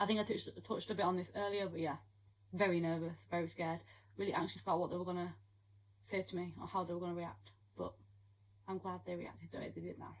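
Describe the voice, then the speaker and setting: Using vocal fry and a fairly low pitch, a woman talks very fast with ordinary pitch variation but takes long, frequent pauses. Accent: British. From United Kingdom. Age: young. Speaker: young mother vlogger. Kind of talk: casual Q&A talk to camera.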